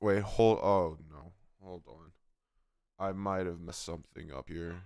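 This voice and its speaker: Relaxed and fairly slow, a man with a very deep, low pitch speaks with ordinary pitch variation and big swings in loudness. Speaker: gaming livestreamer. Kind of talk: casual livestream chat. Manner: casual, relaxed.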